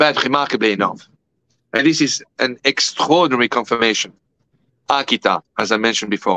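This man has a French accent and a bright, sharp tone, with ordinary pitch variation. He talks at a fairly quick pace but leaves long, frequent pauses. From France. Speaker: guest. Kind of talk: interview. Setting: video call. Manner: formal. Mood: earnest, grave. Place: home room. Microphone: video call.

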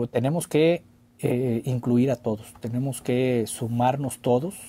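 A fairly slow, somewhat breathy voice with ordinary pitch variation and big swings in loudness. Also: man. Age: 40s. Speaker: former mayor. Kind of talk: interview. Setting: studio. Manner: halting, many repetitions. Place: studio. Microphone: studio mic.

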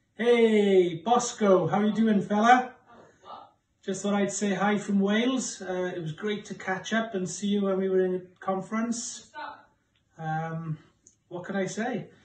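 In a room with audible echo, a man with a high pitch talks at a fairly slow pace with fairly even intonation. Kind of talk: casual video message. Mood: warm, jokey. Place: home room. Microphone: phone near.

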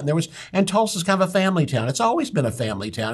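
An American-accented man, somewhat breathy, with lively intonation, against a quiet background. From United States. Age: 70s. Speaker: pastor and Bible teacher. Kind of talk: Bible teaching. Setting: studio. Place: studio.

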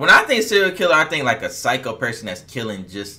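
This is a man speaking. His intonation is lively. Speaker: reaction channel host. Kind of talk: casual reaction chat. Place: home room.

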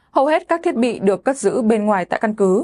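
A woman with an unremarkable speaking voice, fairly high in pitch with lively intonation, is heard in a dry, close sound with no echo against a quiet background. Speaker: news presenter. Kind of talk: news reading. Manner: formal.

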